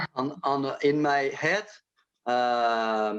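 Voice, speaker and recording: His pitch moves with ordinary variation. The man talks with a French accent. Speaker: illustrator. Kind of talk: interview. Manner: halting, many hesitations.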